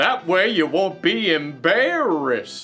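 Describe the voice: A man's put-on character voice, high-pitched and fairly slow, with faint music behind it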